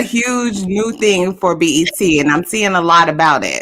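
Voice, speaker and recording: A woman's bright, sharp tone. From Decatur, Georgia. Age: 40s. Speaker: podcast co-host. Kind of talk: casual chat.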